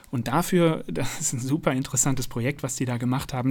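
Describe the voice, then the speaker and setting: Somewhat breathy and fairly high in pitch, a man speaks at a very fast pace. The recording is very clean, with a silent background. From Münster, North Rhine-Westphalia, Germany. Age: 30s. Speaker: science communicator and YouTuber. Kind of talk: interview.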